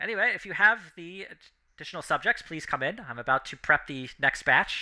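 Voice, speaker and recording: A man uses a robotic, put-on character voice at a high pitch. He speaks at a fairly quick pace. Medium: actual play.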